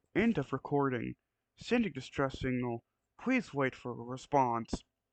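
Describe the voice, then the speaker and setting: A man puts on a robotic character voice at a medium pitch. He speaks at a moderate pace. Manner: flat, automated announcement.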